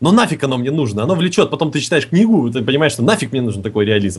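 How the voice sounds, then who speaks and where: Somewhat breathy and animated, a man at medium pitch speaks with lively intonation. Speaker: podcast co-host. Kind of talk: casual chat.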